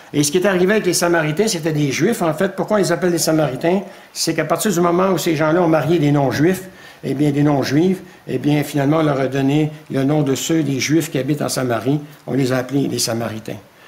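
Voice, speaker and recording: The speech moves at a fairly quick pace with ordinary pitch variation. Audible room echo surrounds it. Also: man, fairly high pitch for a man. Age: 70s. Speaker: preacher. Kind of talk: sermon.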